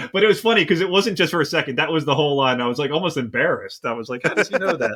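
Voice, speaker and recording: Speaking at a very fast pace, a man with an American accent has a fairly high pitch and lively intonation. Noticeable background noise is present. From US East Coast, Philadelphia. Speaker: podcast host. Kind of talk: casual chat. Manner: animated.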